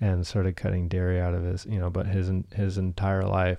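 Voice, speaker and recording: In a very deep, low pitch and a dark, mellow tone, a man speaks with monotone, flat intonation. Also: quiet background. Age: 30s. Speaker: podcast host. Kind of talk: casual chat.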